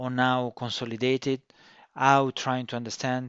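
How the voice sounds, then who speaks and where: A medium-pitched male voice with a strong non-native accent. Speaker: cybersecurity consultant and course instructor. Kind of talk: course introduction. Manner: slow and deliberate; halting, many fillers.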